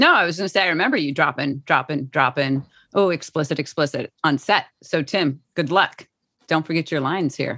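A woman with an American accent, a very deep, low pitch, ordinary pitch variation and a fairly quick pace, against a quiet background. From Chicago, US Midwest. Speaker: actor. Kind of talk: casual chat. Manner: playful, joking.

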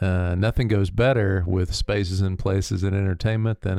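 Speaking at a moderate pace with an American accent, a man uses a very deep, low pitch and a dark, mellow tone with fairly even intonation. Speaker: local history podcast co-host. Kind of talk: casual chat. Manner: halting, frequent filler words.

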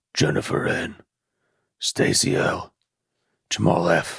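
Using a put-on character voice, a man speaks in a raspy, very deep, low pitch at a fairly slow pace.

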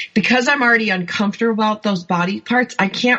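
A woman talks in an animated tone. Noticeable background noise runs behind her. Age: 50s. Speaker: author and life coach. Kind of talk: interview.

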